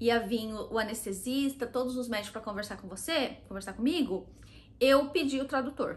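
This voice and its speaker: A woman speaks with a Brazilian accent at a fairly high pitch. Her pace is moderate and her pitch varies in an ordinary way. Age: 30s. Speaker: vlogger. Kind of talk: casual talk to camera.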